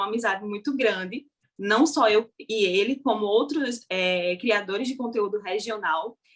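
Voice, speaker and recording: At a fairly slow pace, a woman with a plain, everyday voice speaks at a fairly high pitch with ordinary pitch variation. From Brazil, Paraíba (Northeast). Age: young. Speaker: social media content creator. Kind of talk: interview conversation. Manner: casual.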